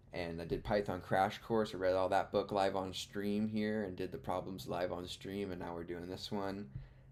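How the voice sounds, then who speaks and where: The speaker keeps a moderate pace and leaves hardly any pauses. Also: man, very deep, low pitch for a man. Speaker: live-streaming beginner programmer. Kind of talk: live stream chat and study. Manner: halting.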